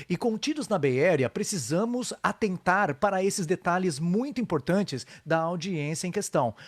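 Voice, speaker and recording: A man with a Brazilian accent speaks at a fairly quick pace in a high voice, with lively intonation and hardly any pauses. His loudness stays very even, and the recording is very clean, dry and close, with a silent background and no echo. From Brazil, São Paulo. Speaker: live show host. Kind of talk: casual interview. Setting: Facebook live stream.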